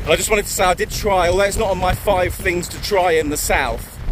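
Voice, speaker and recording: Against noticeable background noise, a man's high voice sounds dry, with no echo. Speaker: travel vlogger. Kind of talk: casual vlog chat. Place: waterside. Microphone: phone near.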